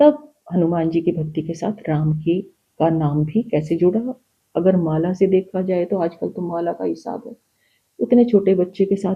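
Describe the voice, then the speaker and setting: A woman speaks somewhat breathily at a fairly low pitch, with ordinary pitch variation. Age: 60s. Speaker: spiritual guest sharing her experiences. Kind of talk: personal testimony in a podcast interview. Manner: animated storytelling.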